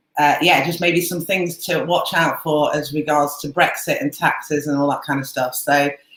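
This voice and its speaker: Her pitch is very deep and low for a woman, with fairly even intonation. The woman speaks at a moderate pace. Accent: British. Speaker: Amazon seller and coach. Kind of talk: webinar presentation.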